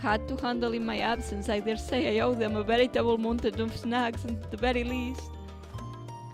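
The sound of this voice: The reading voice is unforced. It stays that way throughout.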